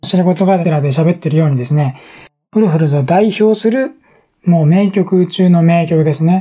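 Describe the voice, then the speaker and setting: Speaking at a moderate pace, a man uses a high pitch with ordinary pitch variation and a dark, mellow tone. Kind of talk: casual solo talk, radio-style. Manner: relaxed, rambling.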